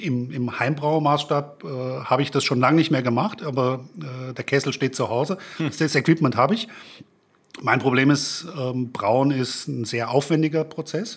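The speaker is a man with a Frankfurt accent. His voice sits fairly high. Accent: Frankfurt German accent, still noticeable. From Germany, Frankfurt. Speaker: beer blogger. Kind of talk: casual chat. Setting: studio.

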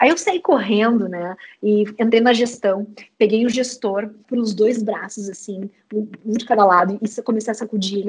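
A woman is speaking. She talks in a southern Brazilian accent. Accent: gaúcho Brazilian Portuguese. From Rio Grande do Sul, Uruguaiana. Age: 30s. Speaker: startup co-founder and HR lead. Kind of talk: interview conversation. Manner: animated.

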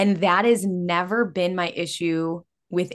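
Speaking with an American accent, a woman has an unremarkable speaking voice, fairly low in pitch, with fairly even intonation. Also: quiet background. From Illinois. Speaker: podcast host and coach. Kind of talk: casual chat.

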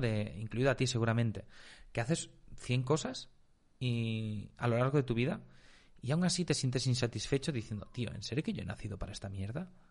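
This man has an unremarkable speaking voice at a medium pitch. He keeps a moderate pace with lively intonation. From Spain. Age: 20s. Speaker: marketing agency entrepreneur. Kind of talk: casual interview chat.

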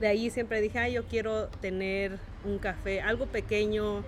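At a fairly slow pace, a woman speaks in a fairly high pitch with monotone, flat intonation. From Santa Monica, California, Oaxacan parents. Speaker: café owner. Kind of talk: casual interview chat.

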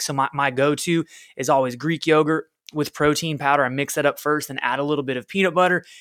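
Energetic, fairly quick speech from a man with a fairly high pitch, on a very clean recording with a silent background. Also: dry, close sound with no echo. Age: 30s. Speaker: fitness coach podcast host. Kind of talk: solo podcast monologue. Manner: casual, energetic.

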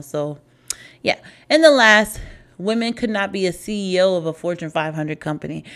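The tone is animated. The pace is fairly quick. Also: woman. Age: 30s. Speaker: podcast host. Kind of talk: casual solo monologue.

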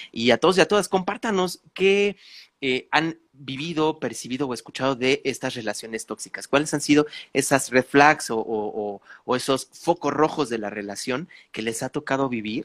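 In a normal speaking voice, a man talks at a moderate pace with lively intonation, the sound dry and close with no echo. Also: fairly high pitch for a man, very clean recording, silent background. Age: 30s. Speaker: podcast host, spiritual coach. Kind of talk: casual chat.

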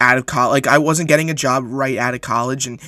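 A man with an American accent, fairly high pitch and a bright, sharp tone, at a moderate pace, in a dry, close sound with no echo. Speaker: sports podcast host. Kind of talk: casual solo sports podcast.

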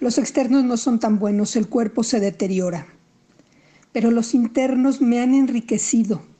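A woman's high-pitched, dark, mellow voice at a fairly slow pace with ordinary pitch variation. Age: 60s. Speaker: playwright. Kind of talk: recorded monologue.

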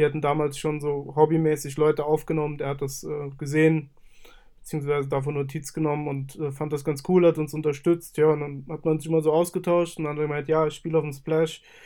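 A man speaks at a very fast pace with a fairly high pitch. His tone is dark and mellow, and his intonation is monotone and flat. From Saarland, Germany. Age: 20s. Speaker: music studio owner and artist manager. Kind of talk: casual interview.

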